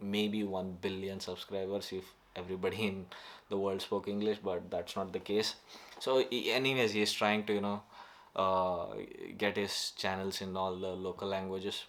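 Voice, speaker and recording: A man with a Karnataka accent speaks in a fairly low, flat monotone, recorded very cleanly against a silent background. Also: moderate pace. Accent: Indian (Kannada) English. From North Karnataka, India. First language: Kannada. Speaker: YouTuber. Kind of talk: casual vlog monologue. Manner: halting, many fillers.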